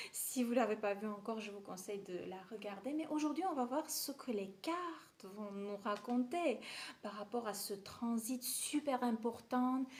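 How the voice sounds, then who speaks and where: With an Armenian accent, a woman speaks fairly slowly in a fairly high voice with ordinary pitch variation. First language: Armenian (speaking French). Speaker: tarot reader. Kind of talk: tarot reading.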